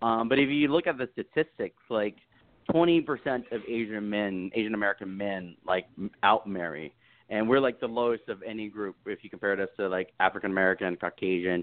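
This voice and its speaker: With a normal speaking voice, a man speaks at a fairly quick pace, his fairly low pitch carried by lively intonation. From Texas, US South. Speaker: dating coach. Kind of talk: podcast interview. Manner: casual, filler-heavy.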